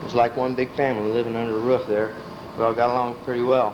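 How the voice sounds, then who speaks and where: The speech runs at a fairly quick pace over noticeable background noise. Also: man. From Illinois, US Midwest. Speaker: family elder telling his life story. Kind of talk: life story reminiscence. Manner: casual, conversational.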